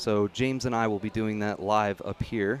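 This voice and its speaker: A man's fairly low voice with fairly even intonation over background music. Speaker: karting livestream host. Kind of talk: casual livestream chat. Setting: live stream at karting track. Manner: loud.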